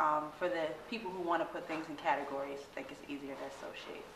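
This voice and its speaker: A woman with an American accent speaks at a very deep, low pitch with fairly even intonation. Audible room echo and noticeable background noise are present. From Boston. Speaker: hip hop and soul musician. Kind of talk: interview.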